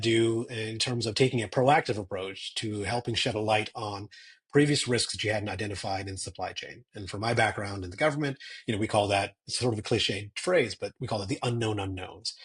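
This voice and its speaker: A man's somewhat breathy, medium-pitched voice at a fairly quick pace, with ordinary pitch variation and a quiet background. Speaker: cyber security strategist. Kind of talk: interview.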